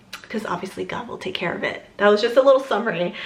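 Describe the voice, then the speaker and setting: A woman's voice has ordinary pitch variation. Noticeable background noise sits behind it. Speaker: lifestyle vlogger. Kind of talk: casual chat.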